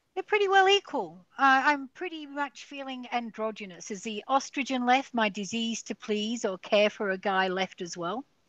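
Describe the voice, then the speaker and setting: A woman with an Australian accent talks at a fairly high pitch and a moderate pace, with very wide pitch swings and big swings in loudness. The sound is dry and close, with no echo. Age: 60s. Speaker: guest sharing a near-death experience. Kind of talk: podcast interview.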